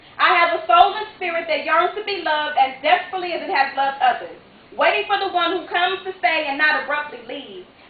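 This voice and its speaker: Over noticeable background noise, a woman with an extremely high pitch speaks at a fairly quick pace with lively intonation. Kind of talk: spoken word poetry performance. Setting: live theater stage.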